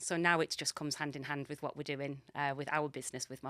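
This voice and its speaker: A woman's very deep, low voice at a fairly quick pace, with a dry, close sound and no echo. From northeast England, Middlesbrough. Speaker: magazine editor and property investor. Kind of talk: casual interview chat.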